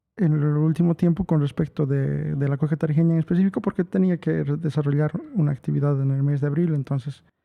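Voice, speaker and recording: The speaker has a La Paz accent. The intonation stays fairly even. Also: man. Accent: La Paz Bolivian accent, noticeable. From Bolivia, La Paz. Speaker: musician and music teacher giving a talk. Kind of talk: online lecture. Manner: halting, many fillers.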